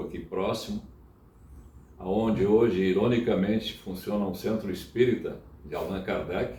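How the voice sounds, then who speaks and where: The man's voice sits fairly low, with a dark, mellow tone. It is somewhat breathy, and the room echo is audible. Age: 70s. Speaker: church member. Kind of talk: interview. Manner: halting.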